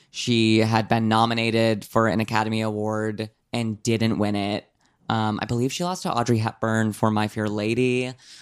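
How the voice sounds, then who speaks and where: Recorded very cleanly against a silent background, a man speaks at medium pitch with fairly even intonation in a plain, everyday voice. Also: moderate pace. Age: 20s. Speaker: podcast co-host. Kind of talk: casual chat.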